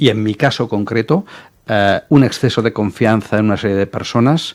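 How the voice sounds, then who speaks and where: Recorded very cleanly against a silent background, a man speaks at a moderate pace with medium pitch and ordinary pitch variation. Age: 60s. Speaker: entrepreneur and business mentor. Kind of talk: interview. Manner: hesitant, with fillers.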